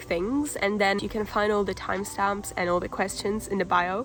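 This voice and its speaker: Against noticeable background noise, a woman with a Polish accent speaks at a medium pitch with fairly even intonation. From Poland. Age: 18. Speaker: vlogger. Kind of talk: casual vlog talk.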